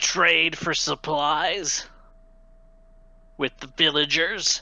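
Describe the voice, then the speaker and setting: Using a put-on character voice, a man speaks in a fairly high pitch at a very slow pace. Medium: actual play. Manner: curt, clipped.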